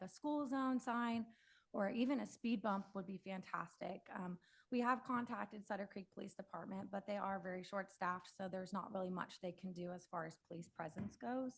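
A woman speaks in a somewhat breathy voice at a medium pitch and a fairly quick pace, with ordinary pitch variation. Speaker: public commenter, local resident. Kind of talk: public comment at council meeting. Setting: city council meeting. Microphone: initially too far from mic.

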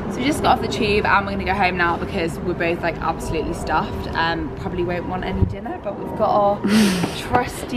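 A woman at a very fast pace, with ordinary pitch variation and loud background noise. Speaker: food vlogger. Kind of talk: casual vlog chat. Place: street. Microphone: phone near.

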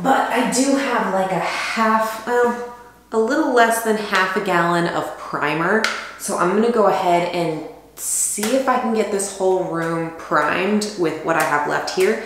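A woman speaks at a fairly slow pace over noticeable background noise, with audible room echo. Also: ordinary pitch variation. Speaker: DIY vlogger. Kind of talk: casual vlog chat. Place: bathroom. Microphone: camera far.

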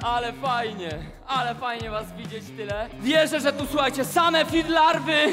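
Shouting in a raised, projected voice, the speaker sounds upbeat with lively intonation and a Polish highland accent. The pace is moderate, with music in the background. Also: man, extremely high pitch for a man. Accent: Polish highlander dialect. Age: 30s. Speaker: fitness trainer. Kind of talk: workout class talk to crowd. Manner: upbeat, shouting. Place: gym. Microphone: headset.

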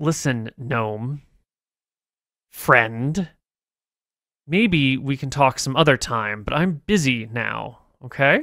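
A man puts on a strained character voice at a medium pitch with ordinary pitch variation. His pace is very slow, with long, frequent pauses. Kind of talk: gruff. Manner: through gritted teeth, strained patience.

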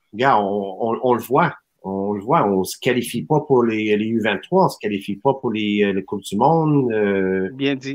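Against a quiet background, a man talks very slowly at medium pitch. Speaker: soccer academy president; guest. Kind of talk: casual chat. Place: home room. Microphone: video call.

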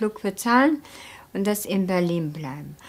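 At a fairly slow pace, a woman talks in a Turkish accent. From Turkey. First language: Turkish (speaking German). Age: 30s. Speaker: former factory worker, documentary subject; former factory worker, interviewee. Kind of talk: documentary interview, personal recollection. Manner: halting, with hesitations and self-corrections. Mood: calm, reflective recounting. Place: studio.

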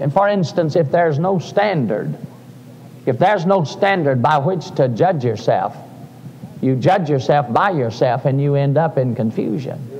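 Lively intonation carries the speech at a moderate pace. Light background noise sits underneath. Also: man. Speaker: preacher. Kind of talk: sermon. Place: church.

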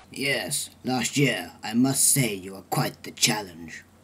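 A man speaks at a fairly slow pace with ordinary pitch variation. His loudness swings widely. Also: medium pitch for a man. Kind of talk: amateur comic acting. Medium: comedy sketch. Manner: bossy, scornful.

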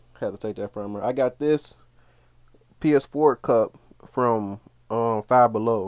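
Very slow pace with long, frequent pauses, ordinary pitch variation, and a quiet background. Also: man, medium pitch for a man. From Cincinnati, Ohio; Ohio. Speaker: gaming YouTuber. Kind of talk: room tour video. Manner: casual. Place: home room. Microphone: phone near.

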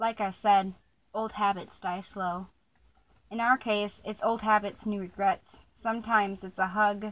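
With a fairly high pitch, the woman keeps a moderate pace. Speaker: spoken word poet and video creator. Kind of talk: performed slam poem, confessional and raw. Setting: home recording with dog nearby. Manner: intense, emotionally charged delivery building to bitter outbursts; casual and slightly hesitant in intro, with filler ums.

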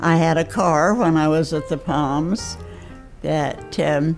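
Faint music plays in the background while a woman speaks at a fairly low pitch. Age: 80s+. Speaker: assisted living resident. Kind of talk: interview answer. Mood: warm, pleased. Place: home room.

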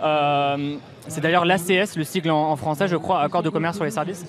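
The speaker goes at a fairly quick pace with fairly even intonation, in a dry sound with no echo and noticeable background noise. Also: man. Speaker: campaign group spokesperson. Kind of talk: explanatory interview. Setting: outdoor street studio. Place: street. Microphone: handheld.

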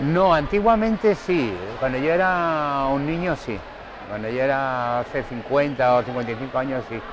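Over clear background noise, a man talks at a moderate pace and medium pitch with ordinary pitch variation and few pauses.

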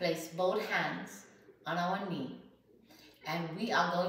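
A woman speaks at a very slow pace, with audible room echo around her. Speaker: health coach and podcaster. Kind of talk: guided breathing exercise demonstration; guided meditation. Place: home room. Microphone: camera far.

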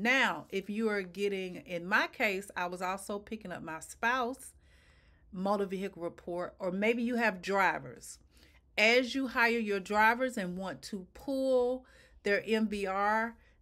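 Against a quiet background, a woman speaks very slowly in a bright, sharp tone with ordinary pitch variation. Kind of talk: tutorial. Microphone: webcam.

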